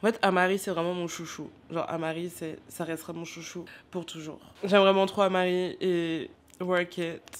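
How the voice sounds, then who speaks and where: Her voice fairly low in pitch, a woman speaks at a moderate pace in a monotone, flat intonation with big swings in loudness. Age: 20s. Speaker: vlogger. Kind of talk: casual vlog.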